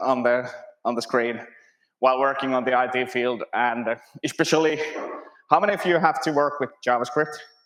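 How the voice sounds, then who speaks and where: Pitched at a medium level, a man with a Finnish accent talks with fairly even intonation. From Finland. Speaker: conference speaker, web developer and lumberjack. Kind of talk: conference talk. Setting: stage with audience.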